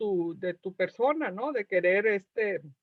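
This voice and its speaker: At a fairly slow pace, a bright, sharp tone comes through with a dry, close sound and no echo. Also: woman. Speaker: academic guest. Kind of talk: interview answer.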